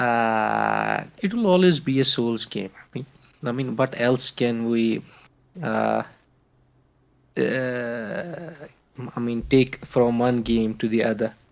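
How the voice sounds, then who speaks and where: A man with a non-native accent, medium pitch and ordinary pitch variation, at a very slow pace with long, frequent pauses. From Kashmir, India. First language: not English. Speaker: podcast guest, gamer. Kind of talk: casual chat. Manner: halting, many fillers.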